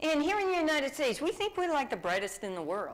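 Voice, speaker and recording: With a Massachusetts accent, a woman speaks in an animated tone with very wide pitch swings over noticeable background noise. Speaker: diversity speaker. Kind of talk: interactive workshop talk.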